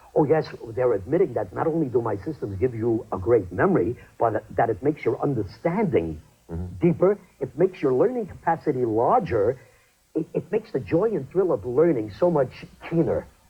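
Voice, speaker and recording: A man's medium-pitched voice at a fairly quick pace with very wide pitch swings, music playing in the background. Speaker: memory training specialist. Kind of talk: infomercial interview answer.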